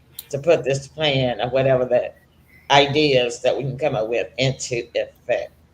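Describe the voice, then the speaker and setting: A woman with a Tennessee accent, somewhat breathy, very deep and low in pitch, at a moderate pace. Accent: Southern US (Tennessee). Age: 70s. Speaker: talk show host. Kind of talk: casual chat. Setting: studio. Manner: animated.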